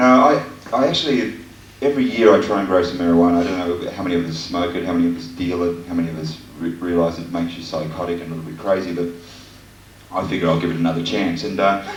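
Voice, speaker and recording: Over noticeable background noise, a man talks very fast in a very deep, low voice. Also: lively intonation. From Australia. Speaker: stand-up comedian. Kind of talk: live stand-up comedy set. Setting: live comedy venue with audience.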